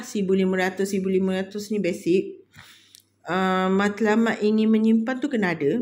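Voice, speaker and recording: A woman with a dark, mellow tone speaks at a very slow pace. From Malaysia. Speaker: budgeting vlogger. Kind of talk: casual vlog tutorial. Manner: giggly, frequent laughter; halting, many fillers. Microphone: phone near.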